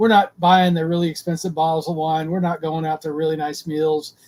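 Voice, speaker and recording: A man's high-pitched voice with an American accent at a fairly quick pace. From US South. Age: 60s. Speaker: retired sailor. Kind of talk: podcast interview. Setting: live video podcast.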